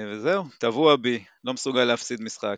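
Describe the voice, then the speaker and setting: In a dry, close sound with no echo and a quiet background, a man uses an ordinary speaking voice at medium pitch with ordinary pitch variation. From Israel, moshav in the south. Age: 40s. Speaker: basketball fan. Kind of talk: casual chat.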